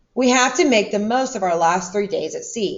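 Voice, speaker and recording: A female-sounding, put-on character voice, raspy and fairly high in pitch, runs at a moderate pace. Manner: serious, grave.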